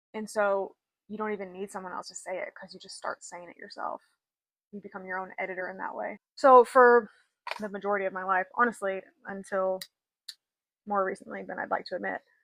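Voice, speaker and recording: Recorded dry and close with no echo, a woman speaks at a medium pitch and a fairly quick pace. Her loudness swings widely, and she takes long, frequent pauses. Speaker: vlogger. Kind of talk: casual chat. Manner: animated.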